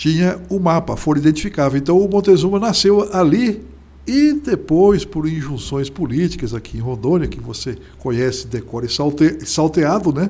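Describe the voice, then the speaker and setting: A man speaks with lively intonation. Background noise is noticeable. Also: fairly high pitch for a man, moderate pace. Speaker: journalist and writer. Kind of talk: interview.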